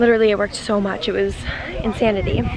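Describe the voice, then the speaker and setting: A woman talks at a very fast pace in a dry sound with no echo, with noticeable background noise behind her. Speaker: vlogger. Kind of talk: casual vlog chat. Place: street. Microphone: phone near.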